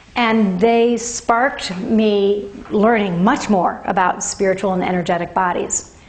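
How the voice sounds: A woman at a medium pitch speaks at a fairly slow pace with fairly even intonation, and audible room echo can be heard.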